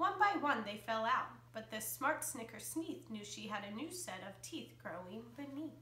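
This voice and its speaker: Hardly pausing, a woman talks at a moderate pace with big swings in loudness and audible room echo. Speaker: elementary school teacher. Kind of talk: children's picture book read-aloud. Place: home room.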